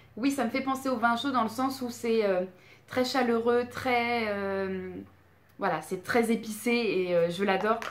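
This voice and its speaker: A woman with a fairly high pitch speaks at a fairly slow pace with ordinary pitch variation, amid noticeable background noise and audible room echo. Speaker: beauty and candle youtuber. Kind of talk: product review vlog. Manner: hesitant, many fillers.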